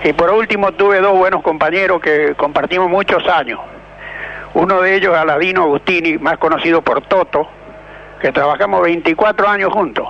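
Over noticeable background noise, a man speaks at a high pitch and a moderate pace. His pitch varies in an ordinary way while his loudness stays very even. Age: old. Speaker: retired truck driver. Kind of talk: radio call-in. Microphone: too quiet.

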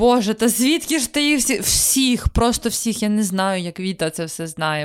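Speaking at a moderate pace, a woman with a fairly high pitch uses very wide pitch swings on a very clean recording with a silent background. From Ukraine, small town. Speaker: podcast co-host. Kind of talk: casual chat.

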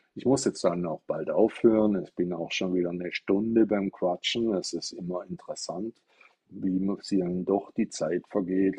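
Dry and close with no echo, the recording catches a man with a dark, mellow tone and fairly low pitch. His intonation is fairly even and his pace moderate. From Stuttgart, Germany. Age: 60s. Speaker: Buddhist teacher. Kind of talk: livestream dharma talk. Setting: TikTok live stream. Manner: casual, chatty.

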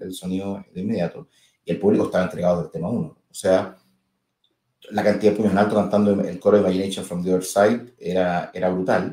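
In a dark, mellow tone, a man talks at a fairly quick pace. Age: 40s. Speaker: singer. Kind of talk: casual chat.

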